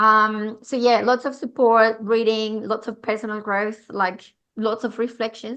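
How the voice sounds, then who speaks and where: A woman with a Colombian accent speaks at a fairly high pitch in a bright, sharp tone. The background is quiet. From Colombia, Medellín. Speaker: public speaking coach. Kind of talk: podcast interview.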